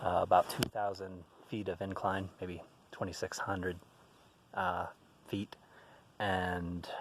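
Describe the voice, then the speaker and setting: Very deep and low, a man's voice moves at a fairly slow pace with monotone, flat intonation. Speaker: metaphysics teacher. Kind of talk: outdoor video lecture. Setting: outdoors by a mountain lake.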